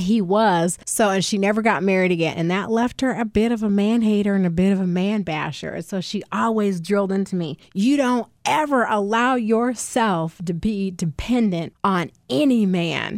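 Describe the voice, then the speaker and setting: An ordinary speaking voice goes at a moderate pace with ordinary pitch variation. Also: woman, medium pitch for a woman. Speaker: podcast host. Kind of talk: casual conversational interview.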